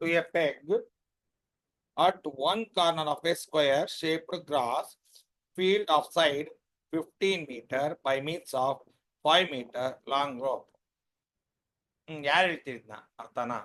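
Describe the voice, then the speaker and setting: A quiet man's voice, fairly high in pitch, with ordinary pitch variation. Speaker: maths teacher. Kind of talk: online class lecture. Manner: too quiet.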